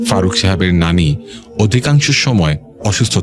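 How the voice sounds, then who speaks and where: A man speaks with very wide pitch swings while music plays in the background. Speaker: radio horror show host. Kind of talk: radio horror story narration.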